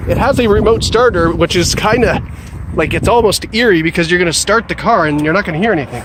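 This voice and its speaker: A man at high pitch, very fast pace and ordinary pitch variation, with noticeable background noise. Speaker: car salesperson doing video reviews. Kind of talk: car walkaround review. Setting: outdoors in cold, then inside a car. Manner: casual, animated.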